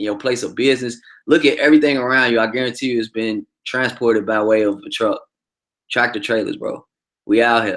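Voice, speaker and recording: In a very clean recording with a silent background, a man with an American accent speaks at a fairly quick pace in an animated tone. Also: medium pitch for a man. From Chicago South Side. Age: 30s. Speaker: truck driver and livestream host. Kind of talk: casual livestream commentary. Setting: livestream with chat.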